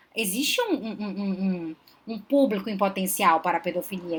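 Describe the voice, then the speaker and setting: Very wide pitch swings at a fairly quick pace. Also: woman. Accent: Belém. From Belém do Pará, northern Brazil. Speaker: psychologist, relationship advisor. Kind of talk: live stream Q&A talk. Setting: live stream.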